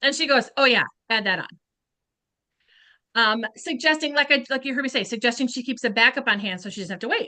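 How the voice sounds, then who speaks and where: Talking at a very fast pace with long, frequent pauses, a woman with high pitch and ordinary pitch variation sounds animated, with a bright, sharp tone and big swings in loudness over a quiet background. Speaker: beauty sales consultant. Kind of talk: training talk.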